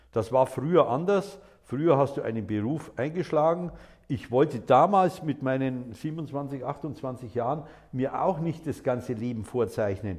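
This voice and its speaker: The intonation is lively and the voice somewhat breathy. The pace is fairly slow. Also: man, medium pitch for a man. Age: 60s. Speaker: lawyer. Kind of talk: interview answers.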